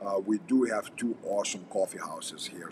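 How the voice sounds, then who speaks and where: Over noticeable background noise, a man speaks with a Russian accent. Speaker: firearms and combat instructor. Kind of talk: casual livestream chat. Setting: coffee house.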